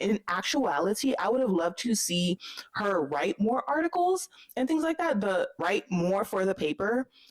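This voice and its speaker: Set against noticeable background noise in a dry, close sound with no echo, a woman speaks at a moderate pace and medium pitch, with very wide pitch swings and very even loudness. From Haitian-American. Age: 20s. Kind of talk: casual book review talk to camera. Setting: unusual home recording, audio issues.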